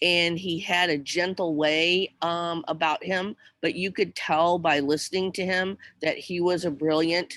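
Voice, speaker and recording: On a very clean recording with a silent background, a woman speaks at a fairly slow pace in a fairly low, monotone voice with flat intonation. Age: 60s. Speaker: teacher. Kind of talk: casual chat.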